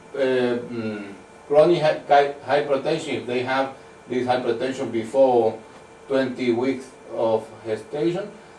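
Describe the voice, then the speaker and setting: A man speaking at a fairly slow pace, with audible room echo and noticeable background noise. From Venezuela. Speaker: medical researcher. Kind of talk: conference talk. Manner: halting.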